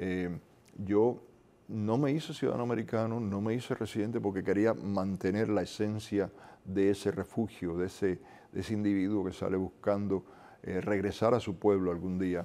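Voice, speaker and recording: A man talks at a moderate pace with a fairly low pitch. His intonation stays fairly even. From Cuba. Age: 60s. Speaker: Cuban exile activist; interview guest. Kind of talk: interview. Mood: earnest, reflective. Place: studio. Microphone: lapel.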